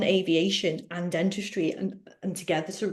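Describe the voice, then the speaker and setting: A woman of medium pitch speaks with a Liverpool accent. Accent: Liverpool (Scouse). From Liverpool, England. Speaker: dental therapist. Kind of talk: webinar Q&A.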